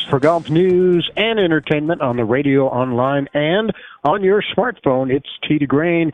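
This man has an ordinary speaking voice, pitched fairly high. His loudness stays very even, with ordinary pitch variation. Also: fairly slow pace. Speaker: radio host. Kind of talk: radio talk show hosting, interview. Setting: studio.

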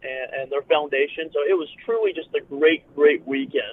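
A man with an American accent speaks at a fairly quick pace, his pitch fairly high and his intonation fairly even. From East Tennessee. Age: 20s. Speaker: professional wrestler. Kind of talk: phone interview. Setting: phone call while driving. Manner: halting, many fillers and repeats.

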